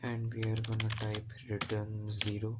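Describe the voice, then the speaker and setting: At a fairly slow pace, someone soft-spoken is talking. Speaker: programming live streamer. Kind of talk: live coding tutorial stream. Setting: home, mother's room.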